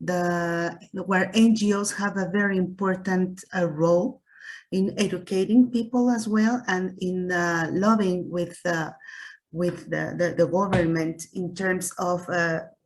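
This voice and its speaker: A woman with a Spanish accent speaks at a fairly slow pace. Her medium pitch carries fairly even intonation. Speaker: researcher panelist. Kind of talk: panel discussion. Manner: hesitant, many fillers.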